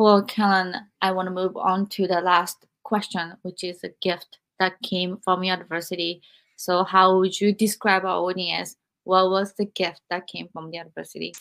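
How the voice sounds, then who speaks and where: Moderate pacing with monotone, flat intonation. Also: woman, medium pitch for a woman. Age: 40s. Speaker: podcast host and author. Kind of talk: interview.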